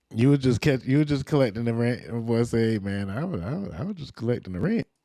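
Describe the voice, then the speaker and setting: A man with a Louisiana accent, medium pitch, a dark and mellow tone, lively intonation and a very fast pace. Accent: Louisiana Southern US. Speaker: podcast host. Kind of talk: casual commentary.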